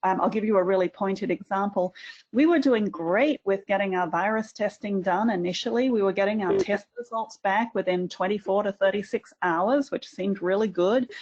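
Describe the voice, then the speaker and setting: With an Australian accent, a woman talks at a moderate pace with hardly any pauses, her pitch medium with ordinary variation, in a dry, close sound with no echo. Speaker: university administrator. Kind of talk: webinar panel discussion.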